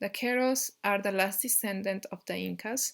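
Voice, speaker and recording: Speaking at a fairly slow pace with fairly even intonation, a woman with a Peruvian accent is heard on a very clean recording with a silent background. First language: Spanish. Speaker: YouTuber teaching Andean cosmology. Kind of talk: casual talk to camera. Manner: halting, many fillers.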